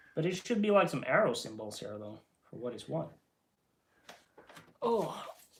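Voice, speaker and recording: A man's fairly high voice with vocal fry, very wide pitch swings, big swings in loudness, a moderate pace and long, frequent pauses. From Norway. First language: not English. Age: 20s. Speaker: streamer. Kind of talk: casual chat. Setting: live stream. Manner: halting.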